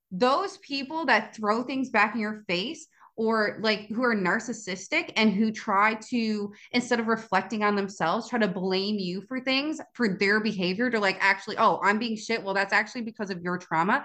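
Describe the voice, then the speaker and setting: A woman's plain, everyday voice, fairly high in pitch, at a moderate pace with ordinary pitch variation and hardly any pauses. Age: 20s. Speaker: podcast host. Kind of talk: solo podcast monologue. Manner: casual.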